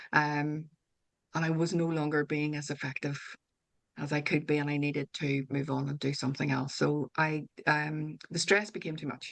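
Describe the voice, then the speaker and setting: With a Northern Irish accent, a woman speaks in a very deep, low pitch. Her pace is moderate and her intonation monotone and flat. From Northern Ireland. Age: 50s. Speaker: author and wellbeing coach. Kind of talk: interview conversation. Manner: hesitant, with fillers and restarts.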